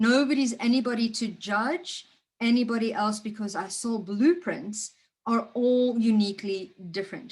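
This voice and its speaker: Somewhat breathy and fairly high in pitch, a woman speaks at a moderate pace with ordinary pitch variation. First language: not English. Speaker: spiritual coach. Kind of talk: motivational talk.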